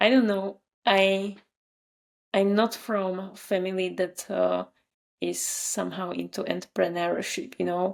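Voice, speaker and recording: A woman with a Slovak accent speaks with long, frequent pauses. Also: fairly slow pace. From Slovakia. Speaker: marketer and newsletter writer. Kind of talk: interview conversation.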